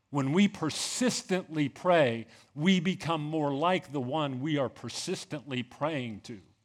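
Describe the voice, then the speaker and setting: An ordinary speaking voice from a man, fairly high-pitched and fairly slow, with lively intonation, on a very clean recording with a silent background. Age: 50s. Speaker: pastor. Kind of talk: sermon.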